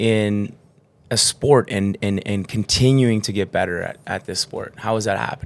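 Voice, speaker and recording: At a moderate pace, a man talks in a plain, everyday voice pitched fairly low. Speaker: podcast host. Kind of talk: podcast hosting. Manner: upbeat.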